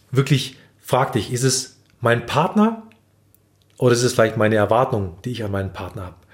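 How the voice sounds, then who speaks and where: The voice is somewhat breathy, with ordinary pitch variation and a fairly slow pace. The recording is very clean, with a silent background. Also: man. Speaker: relationship podcast host. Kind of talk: casual chat. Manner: halting.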